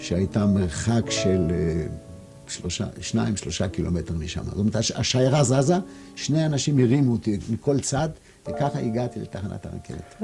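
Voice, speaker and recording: Against music in the background, a man at medium pitch speaks at a fairly slow pace with very wide pitch swings. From Poland. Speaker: Holocaust survivor. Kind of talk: interview answer.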